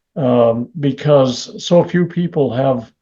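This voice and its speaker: Somewhat breathy, this voice has ordinary pitch variation and an American accent. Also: man. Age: 70s. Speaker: constitutional scholar. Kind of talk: interview.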